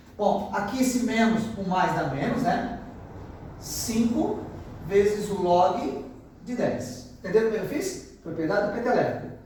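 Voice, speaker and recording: Amid audible room echo and noticeable background noise, a man with a high pitch speaks at a fairly slow pace with lively intonation. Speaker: math teacher. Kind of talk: lecture.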